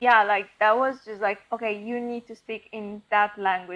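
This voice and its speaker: Speaking with a non-native accent at a fairly slow pace, the voice keeps a fairly even intonation. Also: woman. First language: not English. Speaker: podcast co-host. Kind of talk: casual chat. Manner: many fillers and restarts.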